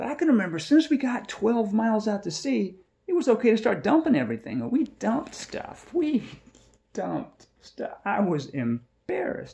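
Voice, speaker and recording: A man talks at a moderate pace with a high pitch and very wide pitch swings. His tone is dark and mellow. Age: 60s. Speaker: small farmer and video blogger. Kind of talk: casual talk to camera. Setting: living room. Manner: halting, many repetitions.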